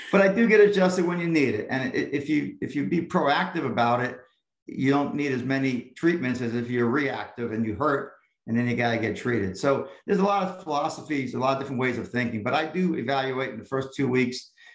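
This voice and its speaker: Audible room echo surrounds a man speaking at medium pitch. His pace is fairly quick and his intonation lively. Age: 60s. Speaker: chiropractor. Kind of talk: interview.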